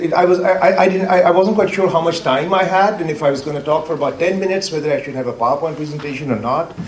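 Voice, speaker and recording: A loud man at a very fast pace, with noticeable background noise and audible room echo. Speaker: academic, water expert. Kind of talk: conference talk.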